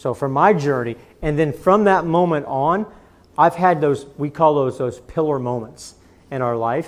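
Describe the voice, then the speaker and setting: A man with an American accent speaks at a fairly high pitch. His pace is moderate and his pitch variation ordinary. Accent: Missouri accent, comes out sometimes. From Missouri. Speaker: business executive and speaker. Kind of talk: Q&A answer at a talk.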